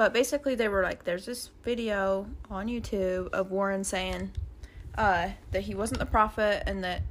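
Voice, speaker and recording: A woman with an American accent talks in an unremarkable speaking voice at a moderate pace with fairly even intonation. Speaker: podcast co-host, former FLDS member. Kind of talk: casual chat.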